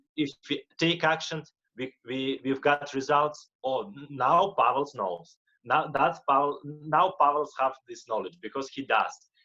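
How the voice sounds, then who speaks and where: In a Russian accent, a man speaks at a fairly slow pace with a fairly high pitch. His tone is bright and sharp, with ordinary pitch variation. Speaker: motivational speaker and life coach. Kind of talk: interview. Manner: halting, repeats words.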